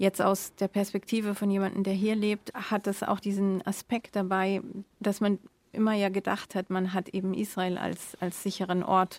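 A woman speaks with monotone, flat intonation at a medium pitch and a moderate pace. The sound is dry and close, with no echo. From Germany. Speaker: editor-in-chief. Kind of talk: casual chat. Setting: remote connection.

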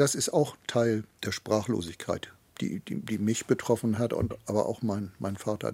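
A man's normal speaking voice, fairly low in pitch, with fairly even intonation, a moderate pace, and a very clean recording on a silent background. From Hamburg, Germany. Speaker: son of a forced labourer. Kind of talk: interview testimony.

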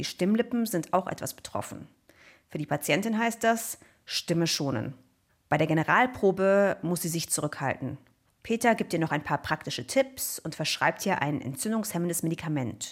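The recording is very clean, with a silent background. The voice moves at a moderate pace with very wide pitch swings. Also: woman. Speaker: podcast host, scientist. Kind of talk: interview podcast. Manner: enthusiastic.

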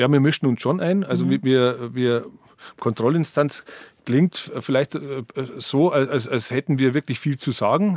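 Fairly high in pitch with ordinary variation, a man talks at a fairly slow pace. The recording is very clean with a silent background, and the sound is dry and close with no echo. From Bavaria, Berchtesgadener Land. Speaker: author and journalist, heritage association director. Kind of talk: radio interview. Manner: halting, many repetitions.

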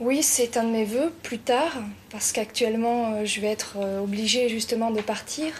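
A woman's fairly high-pitched voice at a fairly slow pace, with noticeable background noise. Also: ordinary pitch variation. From southern France. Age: 20s. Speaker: hotel school student. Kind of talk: interview.

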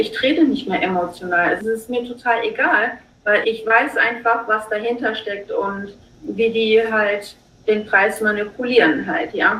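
A woman at a fairly high pitch and fairly slow pace, with ordinary pitch variation and noticeable background noise. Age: 40s. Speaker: day trader and retail investor. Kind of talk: casual chat. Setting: video call.

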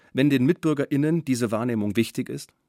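A man with an ordinary speaking voice and a medium pitch talks with lively intonation, recorded very cleanly against a silent background with a dry, close sound and no echo. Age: 50s. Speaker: author and narrator. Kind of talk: scripted narration.

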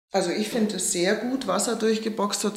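With audible room echo and noticeable background noise behind her, a woman talks at a moderate pace in fairly even intonation. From Upper Bavaria, Oberammergau. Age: 50s. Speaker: actress. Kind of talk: interview.

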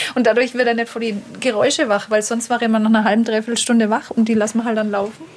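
A woman talks at a very fast pace in a fairly high pitch, her intonation flat and monotone, with noticeable background noise. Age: 30s. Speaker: stay-at-home mother. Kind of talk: casual chat. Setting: outdoors at a lake.

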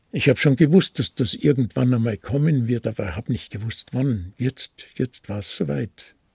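A man speaks with lively intonation and a somewhat breathy voice. The sound is dry and close, with no echo. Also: medium pitch for a man, moderate pace. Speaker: retired pastor and Nazi-era persecution witness. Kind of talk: testimony interview.

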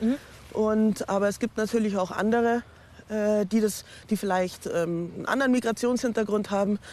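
In an ordinary speaking voice, a woman with a fairly high pitch talks at a moderate pace and keeps her intonation fairly even. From Munich, Bavaria. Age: 40s. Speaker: teacher. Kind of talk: interview testimony. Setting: outdoors.

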